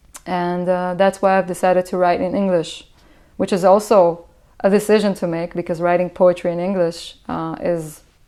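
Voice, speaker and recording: In an Israeli accent, a woman speaks at medium pitch with a dark, mellow tone and fairly even intonation. The recording is very clean, with a silent background. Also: moderate pace. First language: Hebrew. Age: 20s. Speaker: musician. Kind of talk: interview. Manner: halting, many fillers.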